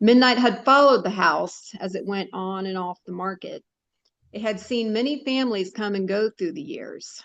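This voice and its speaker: A plain, everyday voice at a moderate pace, ordinary pitch variation, and big swings in loudness. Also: woman, fairly high pitch for a woman. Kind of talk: short story reading.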